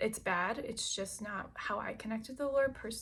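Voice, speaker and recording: Using vocal fry, a woman with an American accent speaks at fairly high pitch. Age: 30s. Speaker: lifestyle vlogger. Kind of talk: casual vlog monologue.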